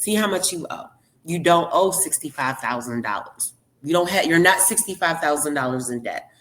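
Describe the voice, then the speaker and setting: A woman's animated, fairly low voice with lively intonation, in a Baltimore accent. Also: moderate pace. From Baltimore, Maryland, US. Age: 40s. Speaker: surrogate mother. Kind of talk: casual interview.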